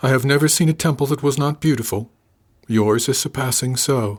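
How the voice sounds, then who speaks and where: A man's put-on character voice, soft-spoken and resonant, at medium pitch with fairly even intonation, very even loudness and a fairly quick pace. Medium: audio drama. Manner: formal, guarded, unemotional.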